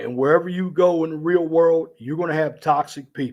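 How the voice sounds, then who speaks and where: The recording is very clean, with a silent background. A man speaks at a moderate pace with ordinary pitch variation. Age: 50s. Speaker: radio show host. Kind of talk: live stream monologue. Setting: live stream on camera.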